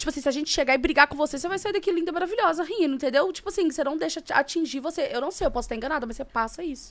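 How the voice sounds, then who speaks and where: The speech runs at a very fast pace with hardly any pauses. Pitch varies in an ordinary way. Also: woman. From Brazil, Minas Gerais (Governador Valadares). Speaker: podcast host. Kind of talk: casual chat.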